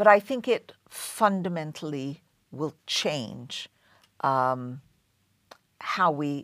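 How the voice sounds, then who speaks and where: On a very clean recording with a silent background, a woman with an English accent speaks in a very deep, low pitch with lively intonation. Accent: non-American, English. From London, England. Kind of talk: interview.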